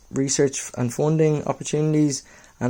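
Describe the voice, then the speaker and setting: With an Irish accent, a man speaks at a moderate pace in a dark, mellow tone. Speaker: newly qualified mental health nurse. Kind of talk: book review. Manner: casual, many fillers.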